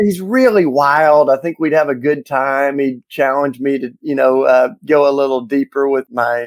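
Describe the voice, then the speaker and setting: Dry and close with no echo, a man's fairly high voice comes at a moderate pace with fairly even intonation. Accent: Southern US. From US South, Tennessee. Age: 50s. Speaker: author and activist. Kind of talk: interview.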